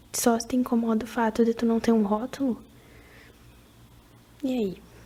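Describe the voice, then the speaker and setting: This voice is soft-spoken, with a relaxed tone and a dark, mellow quality. The pace is fairly slow. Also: woman. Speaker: ASMR creator. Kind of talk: casual advice talk to camera, ASMR. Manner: soft-spoken, relaxed.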